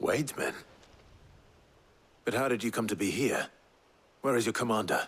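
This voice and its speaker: In a raspy, put-on character voice, the speaker keeps a calm tone, a moderate pace and fairly even intonation, with long, frequent pauses. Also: man, medium pitch for a man. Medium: video game. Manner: calm, measured.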